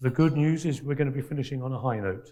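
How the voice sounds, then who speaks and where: Dark and mellow in tone, a man's somewhat breathy voice holds a medium pitch with fairly even intonation. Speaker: panel moderator. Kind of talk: conference panel introduction. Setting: conference stage with audience.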